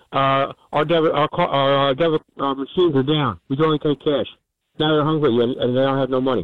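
A man talks at a fairly quick pace with an American accent. He has an ordinary speaking voice and fairly even intonation. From New Jersey. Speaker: caller. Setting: phone call.

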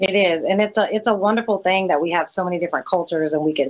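A woman with a coastal Mississippi accent talks at a very fast pace, fairly low in pitch with fairly even intonation. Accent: Southern US (coastal Mississippi). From US South, Mississippi Gulf Coast. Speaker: entrepreneur and social media influencer. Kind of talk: interview.

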